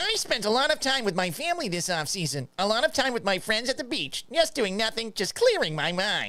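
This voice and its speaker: A put-on character voice with a fairly high pitch and very wide pitch swings. The pace is fairly quick. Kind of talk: cliched, exaggerated.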